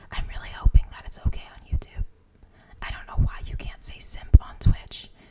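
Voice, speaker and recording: Whispering at a moderate pace, with noticeable background noise. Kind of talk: ASMR live stream chat. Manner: whispered, soft.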